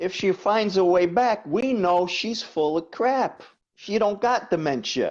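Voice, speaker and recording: Against a quiet background, a man with a New York accent speaks at a fairly slow pace in a high pitch. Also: ordinary pitch variation. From New York, the Bronx. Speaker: coach and body worker. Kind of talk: interview chat.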